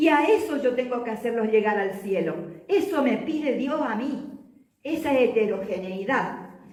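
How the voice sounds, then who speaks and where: Very wide pitch swings and an animated tone mark this fairly slow delivery, heard with audible room echo. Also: woman, high pitch for a woman. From Argentina, Chaco. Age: 70s. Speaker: lay movement leader and teacher. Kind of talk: religious talk to an audience.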